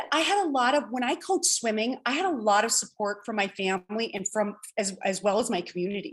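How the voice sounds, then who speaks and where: Talking at a very fast pace with hardly any pauses, a woman uses lively intonation. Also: fairly high pitch for a woman. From South Dakota. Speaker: motivational speaker and former reality show contestant. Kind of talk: podcast interview.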